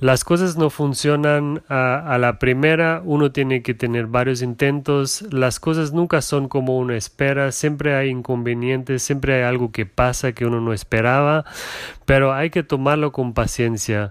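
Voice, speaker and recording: Speaking at a fairly slow pace, a man with a Portuguese accent holds a medium pitch. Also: ordinary pitch variation. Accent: non-native Spanish, Portuguese. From Germany, Portuguese parents. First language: German or Portuguese (speaking Spanish). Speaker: entrepreneur's husband, corporate employee. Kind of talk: casual interview. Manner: halting.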